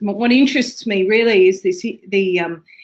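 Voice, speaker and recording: This woman has an Australian accent. She keeps a moderate pace. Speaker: associate professor, ergonomics researcher. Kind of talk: webinar presentation. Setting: webinar, remote. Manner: hesitant, many fillers.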